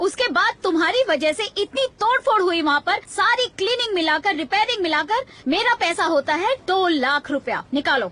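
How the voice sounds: A woman's put-on character voice, extremely high and bright with a sharp edge, lively in intonation, at a moderate pace with few pauses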